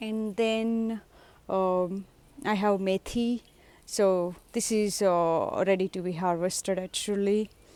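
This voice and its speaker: A woman with a Telugu accent at a medium pitch, very slow and monotone with flat intonation, on a very clean recording with a silent background. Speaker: home gardener vlogger. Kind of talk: casual garden tour. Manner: hesitant, many fillers.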